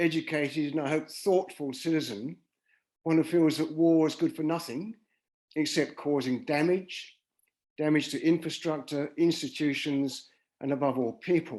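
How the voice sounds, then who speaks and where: With a British accent, a man speaks at a moderate pace and a fairly high pitch, with ordinary pitch variation. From England. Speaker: peace activist. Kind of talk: presentation.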